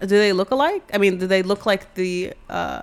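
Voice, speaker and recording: Her intonation is fairly even, and the woman speaks at a medium pitch. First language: not English. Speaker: podcast host. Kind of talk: casual chat.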